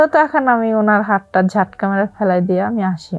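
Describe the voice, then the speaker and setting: This is a woman with medium pitch. She has a plain, everyday voice. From Rangpur, northern Bangladesh. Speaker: private tutor sharing a life story. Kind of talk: personal testimony.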